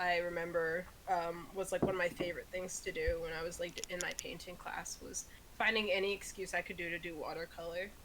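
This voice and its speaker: A woman at a medium pitch and a fairly quick pace, over noticeable background noise. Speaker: podcast co-host. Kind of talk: casual chat. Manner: loud when excited.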